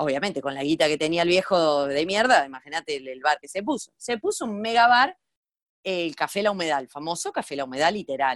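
The voice sways through very wide pitch swings and big swings in loudness at a fairly quick pace. The sound is dry and close, with no echo. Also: woman. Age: 40s. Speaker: comedian and online video creator. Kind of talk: casual interview chat. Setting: remote call.

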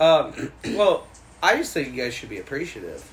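Noticeable noise runs in the background. Over it, a man talks at a moderate pace. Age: 30s. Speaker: podcast co-host. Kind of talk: casual chat.

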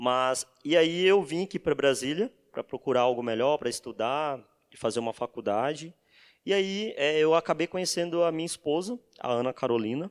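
A man with an unremarkable speaking voice talks at a moderate pace with lively intonation. The recording is very clean, with a silent background and a dry, close sound with no echo. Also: fairly high pitch for a man. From Bahia, Brazil. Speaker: data engineer. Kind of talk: casual chat.

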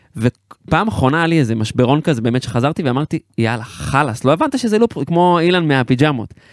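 With a normal speaking voice, a man with a fairly high pitch talks at a fairly quick pace with lively intonation, hardly any pauses and very even loudness, in a dry, close sound with no echo. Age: 30s. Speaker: podcast host and musician. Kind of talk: casual chat.

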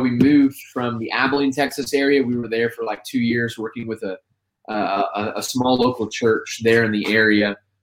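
An unremarkable speaking voice from a man with an American accent, medium-pitched, at a fairly quick pace with fairly even intonation. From Indiana, US Midwest. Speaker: spoken word poet. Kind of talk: casual interview.

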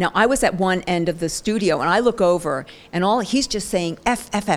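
A woman's plain, everyday voice, fairly low in pitch, with an American accent. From New Jersey. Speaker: beauty magazine editor. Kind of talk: interview.

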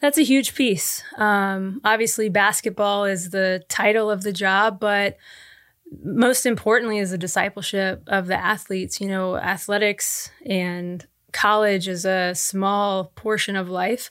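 A woman with an American accent speaks in an ordinary speaking voice at a medium pitch, fairly slowly and with fairly even intonation. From Oklahoma, US. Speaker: basketball coach. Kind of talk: interview.

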